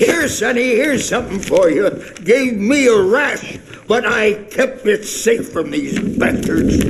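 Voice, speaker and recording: A man does a put-on character voice at an extremely high pitch, speaking at a fairly slow pace over clear background noise. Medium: machinima. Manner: rambling, eccentric.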